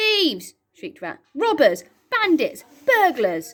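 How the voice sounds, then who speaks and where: Putting on a shrill character voice, a woman talks fairly slowly at an extremely high pitch. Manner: shrieking, furious.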